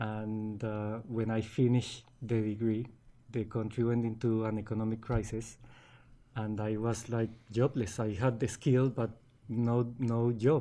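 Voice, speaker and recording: A man with a dark, mellow tone and medium pitch speaks fairly slowly in a monotone, flat intonation. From Colombia. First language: Spanish. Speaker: business owner. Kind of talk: interview. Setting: studio. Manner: hesitant, many fillers and repeats.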